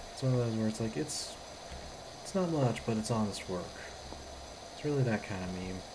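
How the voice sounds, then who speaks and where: Audible room echo surrounds a woman with a very deep, low pitch. She talks at a fairly quick pace with lively intonation, taking long, frequent pauses. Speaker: game streamer. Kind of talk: casual gameplay commentary.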